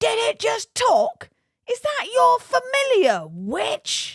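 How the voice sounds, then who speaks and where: Bellowing in a put-on character voice, the speaker goes very slowly at an extremely high pitch. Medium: read story. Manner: bellowing, ranting.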